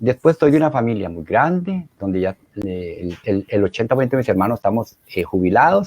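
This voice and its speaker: A medium-pitched male voice at a fairly quick pace, with very wide pitch swings. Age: 60s. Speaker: retired engineer, helpline volunteer. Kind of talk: interview. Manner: animated; halting, many fillers.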